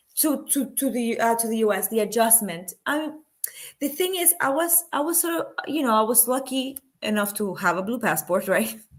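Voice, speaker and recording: A woman with a Spanish accent speaks at a high pitch with very wide pitch swings. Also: moderate pace. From Panama. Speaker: film producer and activist. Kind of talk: interview. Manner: halting, many fillers and restarts.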